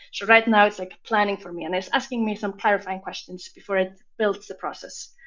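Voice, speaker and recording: A woman at medium pitch talks at a fairly quick pace with hardly any pauses, her intonation fairly even and her loudness swinging widely. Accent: Icelandic. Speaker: software demo presenter. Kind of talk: live product demo.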